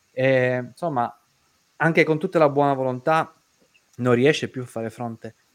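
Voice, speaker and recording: At a moderate pace and a medium pitch, a man talks with long, frequent pauses. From Sicily (Caltagirone). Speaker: debt-relief show host. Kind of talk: live online talk show. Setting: studio livestream.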